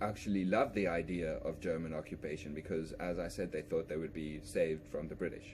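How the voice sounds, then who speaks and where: Hardly pausing, a man with a South African accent talks at a fairly quick pace in a very deep, low pitch with fairly even intonation. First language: Afrikaans. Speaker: history vlogger, musician. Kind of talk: unscripted educational monologue. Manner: halting, frequent repetitions and restarts.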